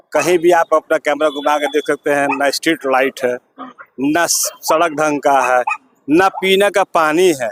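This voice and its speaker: In a dry, close recording with no echo, a man with a fairly high pitch speaks with fairly even intonation and very even loudness. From Bihar, Patna (Mithapur). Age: 60s. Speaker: milk shop owner. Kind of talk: street interview.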